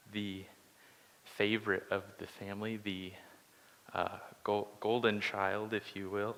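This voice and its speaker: A soft-spoken man talks at a very slow pace. His pitch is fairly low and his intonation monotone and flat. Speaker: Bible study teacher. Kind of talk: Bible study lesson. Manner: hesitant, many filler words.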